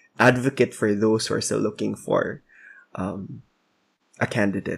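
A man at medium pitch, fairly slow, in a very clean recording with a silent background. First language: Cebuano. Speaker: podcast co-host. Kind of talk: casual chat.

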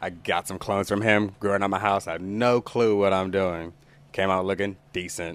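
This man has an American accent and a fairly low pitch. His intonation is monotone and flat. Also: moderate pace. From Oklahoma, Tulsa. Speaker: cannabis business owner. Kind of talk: casual chat.

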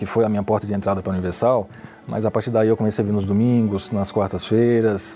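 A man's fairly low-pitched voice with fairly even intonation and noticeable background noise. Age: 30s. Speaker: sales representative. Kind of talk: testimony. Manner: halting.

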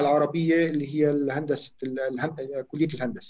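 A man talks in a plain, everyday voice at a moderate pace. His pitch sits fairly high, with ordinary pitch variation. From Lebanon, Chouf (Chhim, Sidon). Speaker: telecom engineer. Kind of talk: interview.

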